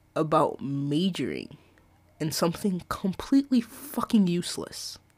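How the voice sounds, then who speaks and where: A woman speaks with a somewhat breathy voice and very wide swings in pitch. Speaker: solo podcast host. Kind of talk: casual monologue. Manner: rambling, halting.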